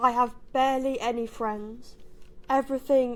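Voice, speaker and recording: A woman with a British accent speaks at a fairly slow pace in a monotone, flat intonation. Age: young. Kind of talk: prepared personal statement read to a board.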